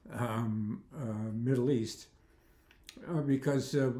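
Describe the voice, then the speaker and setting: With audible room echo, a man speaks at medium pitch in a dark, mellow tone with fairly even intonation. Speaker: commentary video maker. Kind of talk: casual monologue vlog. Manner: halting, many fillers.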